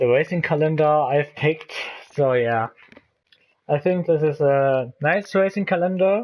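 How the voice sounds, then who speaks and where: On a very clean recording with a silent background, a man with a fairly high voice and a non-native accent speaks at a fairly slow pace. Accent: non-native English speaker. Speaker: gaming YouTuber. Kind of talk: let's play commentary. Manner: halting, many fillers.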